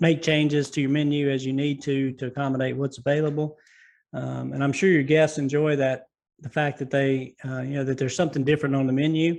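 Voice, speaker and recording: A man with a Southern US accent, fairly high-pitched and flat in a monotone, at a fairly quick pace over a quiet background. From US South. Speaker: podcast host. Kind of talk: interview. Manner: halting, many fillers and repeated words.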